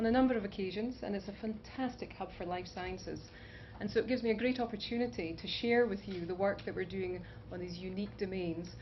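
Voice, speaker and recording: In a Scottish accent, a woman speaks at medium pitch and a fairly quick pace. Her intonation is fairly even, with audible room echo around her. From Scotland, Aberdeen. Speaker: scientist and biotech founder. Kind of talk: conference talk.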